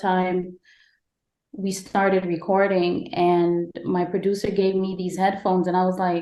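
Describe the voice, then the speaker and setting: Speaking at a fairly slow pace, a woman with a slight Caribbean accent holds a medium pitch in a monotone, flat delivery. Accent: slight Caribbean lilt. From Guyana. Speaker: podcast host. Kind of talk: casual interview chat.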